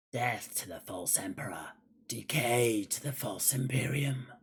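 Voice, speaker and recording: A raspy, put-on character voice sits at a low-to-middle pitch. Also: moderate pace. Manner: menacing, grim.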